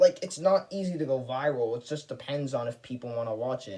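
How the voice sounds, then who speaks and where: With a dark, mellow tone and some breathiness, a man speaks at a fairly quick pace. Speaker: YouTuber. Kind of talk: casual vlog monologue. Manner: stutters; talkative, rambling flow.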